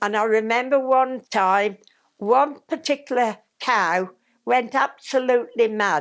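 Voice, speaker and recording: With a West Midlands accent, a woman talks at a fairly slow pace in a fairly high pitch, using ordinary pitch variation. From Tamworth, Staffordshire, England. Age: 80s+. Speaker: former Scout leader. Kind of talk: reminiscence interview answer.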